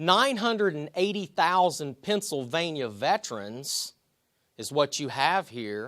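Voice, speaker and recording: In a West Virginia accent, a man with a fairly high pitch and a bright, sharp tone speaks at a fairly slow pace, with very wide pitch swings and big swings in loudness, on a very clean recording with a silent background. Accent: noticeable West Virginia. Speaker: army veteran. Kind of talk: public speech.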